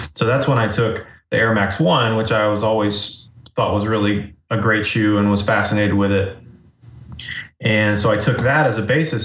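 Audible room echo hangs around this voice. It belongs to a man pitched fairly low. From Asheville, North Carolina (moved from Florida at 11). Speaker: independent designer and illustrator. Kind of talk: casual interview.

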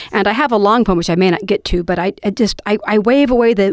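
Here a woman speaks at a fairly quick pace in a medium-pitched voice. Her pitch varies in an ordinary way, and the sound is dry and close, with no echo. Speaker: poet and podcast host. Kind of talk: casual chat with poetry readings. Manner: loud; animated.

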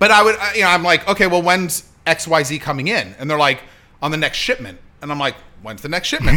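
A man with an American accent talks at a fairly quick pace in a fairly high voice. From Hollywood, California. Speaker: producer and author. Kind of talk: casual chat. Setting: home studio.

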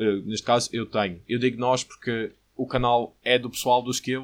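Fairly even in intonation, a man talks at medium pitch. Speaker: podcast host. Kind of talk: casual chat.

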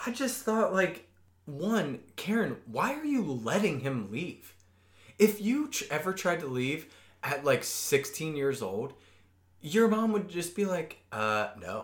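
A man with an American accent speaks very slowly in a high voice with very wide pitch swings. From US Midwest. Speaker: podcast co-host. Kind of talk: casual chat. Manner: animated.

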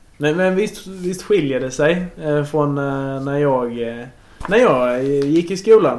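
A man with a fairly high pitch speaks at a very slow pace with ordinary pitch variation. Noticeable background noise and audible room echo fill the recording. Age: 20s. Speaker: podcast host interviewing his grandmother. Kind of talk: casual chat. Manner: halting.

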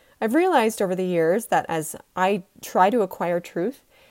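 Recorded very cleanly against a silent background, a woman with a Utah accent speaks at a moderate pace with ordinary pitch variation. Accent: American (Utah). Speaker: podcast host. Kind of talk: personal storytelling monologue.

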